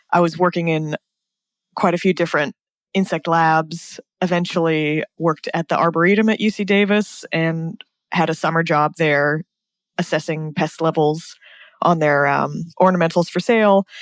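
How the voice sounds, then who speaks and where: A woman with an American accent talks at a moderate pace, her fairly low pitch carried by fairly even intonation and very even loudness. The sound is dry and close, without echo. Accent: American, noticeable in Australia. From US, California. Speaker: bee scientist. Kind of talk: podcast interview.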